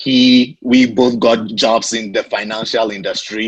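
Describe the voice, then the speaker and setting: A man with an African accent speaks at a medium pitch with ordinary pitch variation. The background is quiet. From Ghana. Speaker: real estate investor. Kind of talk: podcast interview.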